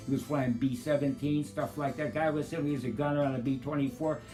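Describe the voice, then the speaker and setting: A man speaks with music playing in the background. His pitch sits fairly high. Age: old. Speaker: retirement community resident. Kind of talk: testimonial interview answer. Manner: casual, chatty, enthusiastic.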